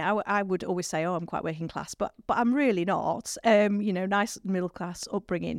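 A woman speaks with a northern English accent at a medium pitch and a fairly quick pace. The recording is very clean, with a silent background and a dry, close sound with no echo. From northern England. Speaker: priest. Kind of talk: casual interview chat. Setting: studio.

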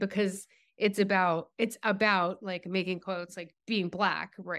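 On a very clean recording with a silent background, a woman with a normal speaking voice and an American accent speaks at a moderate pace and a medium pitch. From Massachusetts. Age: 50s. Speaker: writer. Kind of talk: casual chat.

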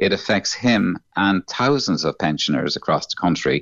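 A man speaks with a Cork accent. His pace is fairly quick. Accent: Cork Irish. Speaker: son of nursing home resident. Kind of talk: radio interview. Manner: worried, halting.

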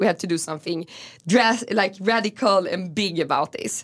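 A woman with a Swedish accent at a moderate pace, ordinary pitch variation, and a very clean recording with a silent background. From Stockholm, Sweden (Gamla stan). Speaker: food activist and entrepreneur. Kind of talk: interview. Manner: halting.

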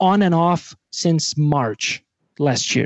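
With a Portuguese accent, a man speaks in a high voice whose pitch varies in an ordinary way. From Brazil. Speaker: rock musician. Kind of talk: casual chat.

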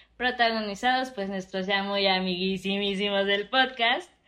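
A woman with a plain, everyday voice and medium pitch speaks at a fairly slow pace. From Oaxaca, Mexico. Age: 20s. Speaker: podcast co-host. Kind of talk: casual chat.

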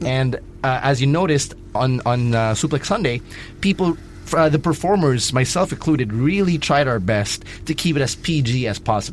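The voice is somewhat breathy, with ordinary pitch variation. Delivery comes at a fairly quick pace. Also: man. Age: 20s. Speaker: wrestling podcast host. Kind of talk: casual chat.

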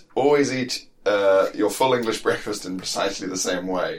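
A man at a moderate pace with fairly even intonation amid noticeable background noise. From South Africa. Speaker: comedian. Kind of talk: casual chat.

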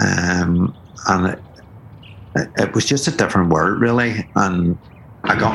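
The pitch varies in an ordinary way. Noticeable noise runs in the background. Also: man. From Belfast, Northern Ireland. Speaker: DJ. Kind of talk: casual interview chat. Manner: hesitant, many fillers and repetitions.

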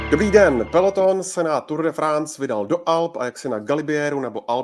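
On a very clean recording with a silent background, a man with a plain, everyday voice speaks at a fairly quick pace with lively intonation. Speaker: podcast moderator. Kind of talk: moderated sports discussion.

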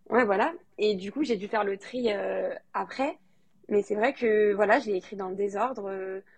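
Here a woman speaks with a fairly high pitch. Her pitch variation is ordinary and her pace is moderate. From France, Lyon. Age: 20s. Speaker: novelist. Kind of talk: interview.

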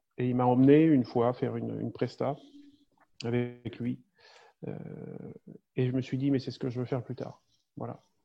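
A man speaks at medium pitch and a fairly slow pace. His intonation is monotone and flat, broken by long, frequent pauses. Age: 40s. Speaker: safety consultant and small-town mayor. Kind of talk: interview. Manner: halting, many repetitions and hesitations.

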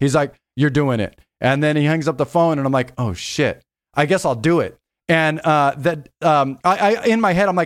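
With an American accent and an ordinary speaking voice, a man with a fairly high pitch talks at a moderate pace in a very clean recording with a silent background. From Los Angeles, San Fernando Valley. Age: 40s. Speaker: DJ and music producer. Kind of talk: casual interview chat.

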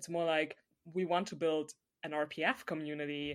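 In a very clean recording with a silent background, a woman speaks at a moderate pace with a very deep, low pitch. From Germany. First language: German. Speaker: podcast co-host, hockey fan. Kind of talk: casual chat.

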